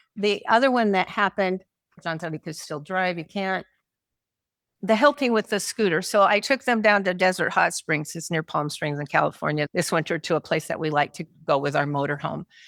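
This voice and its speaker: A woman at medium pitch in a normal speaking voice, with lively intonation, a fairly quick pace, and a dry, close sound with no echo on a very clean recording with a silent background. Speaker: marriage and family therapist, caregiver. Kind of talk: conference talk.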